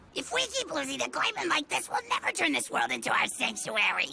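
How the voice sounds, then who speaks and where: The speaker uses a put-on character voice at a fairly quick pace. Clear background noise is present. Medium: fan dub.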